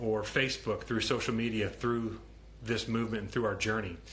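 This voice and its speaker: A man speaks with an American accent at a medium pitch. Audible room echo surrounds the voice. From Ohio, US Midwest. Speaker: vegan activist and social media host. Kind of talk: live stream talk. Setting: Instagram live stream. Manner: mumbles sometimes; outspoken, many filler ums.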